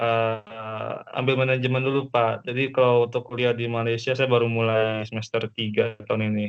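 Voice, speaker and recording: A man speaks at a moderate pace in a flat monotone, his medium pitch barely moving and hardly a pause between phrases. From Jakarta area, Indonesia. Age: 20s. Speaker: university student. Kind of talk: self-introduction in online class.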